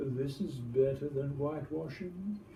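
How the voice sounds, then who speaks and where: A man's put-on character voice, fairly high in pitch, at a moderate pace over clear background noise. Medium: read story. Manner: eager, a little pettish.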